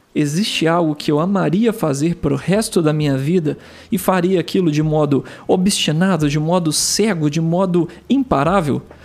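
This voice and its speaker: This man has a high voice with ordinary pitch variation, very even loudness and a moderate pace. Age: 30s. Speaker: podcast host. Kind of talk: casual monologue. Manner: calm, relaxed.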